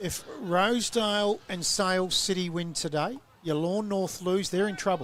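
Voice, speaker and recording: A high-pitched man with an Australian accent, ordinary pitch variation and a moderate pace. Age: 60s. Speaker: football commentator. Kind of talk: live commentary.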